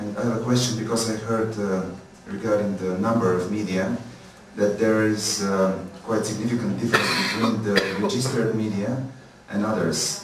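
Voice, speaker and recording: Monotone, flat intonation amid noticeable background noise and audible room echo. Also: man, fairly low pitch for a man, moderate pace. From Bulgaria. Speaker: media NGO director. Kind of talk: audience question.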